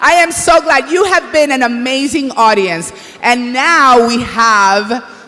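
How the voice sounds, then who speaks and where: A raised, projected voice with lively intonation moves at a fairly slow pace amid noticeable background noise and audible room echo. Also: woman, high pitch for a woman. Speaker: awards show co-host. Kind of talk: live emcee banter. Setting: stage with audience. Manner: animated.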